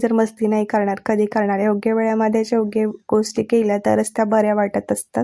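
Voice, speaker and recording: A woman speaks with a dark, mellow tone at a fairly high pitch. Her intonation stays monotone and flat. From Maharashtra, Latur area. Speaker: vlogger. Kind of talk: vlog voiceover.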